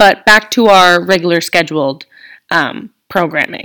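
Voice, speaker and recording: A woman is speaking. Her voice has vocal fry. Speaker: podcast host, college student. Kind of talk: casual solo monologue. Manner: chatty, filler-heavy with laughs.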